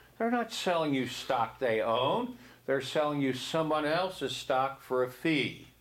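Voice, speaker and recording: Room echo is audible as a man speaks at a fairly slow pace and a fairly high pitch. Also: very even loudness. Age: 70s. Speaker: real estate instructor. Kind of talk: classroom lecture. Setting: classroom. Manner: conversational, frequent 'okay?' and 'see?'.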